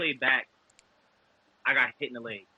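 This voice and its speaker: This voice belongs to a man. His accent is New York. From Brooklyn, New York. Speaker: former college defensive back, football trainer. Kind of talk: podcast interview answer. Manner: casual.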